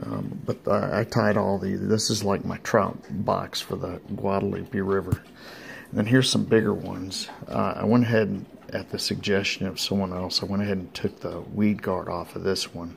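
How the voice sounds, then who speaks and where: A man's fairly low voice at a moderate pace, with fairly even intonation and light background noise. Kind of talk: casual show-and-tell chat. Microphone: phone near.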